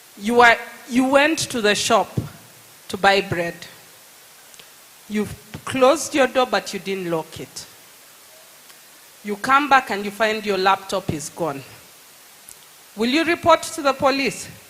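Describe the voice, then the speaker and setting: Amid noticeable background noise, a woman with a fairly high pitch speaks at a fairly slow pace with very wide pitch swings and long, frequent pauses. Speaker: lawyer. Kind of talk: public talk. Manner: animated.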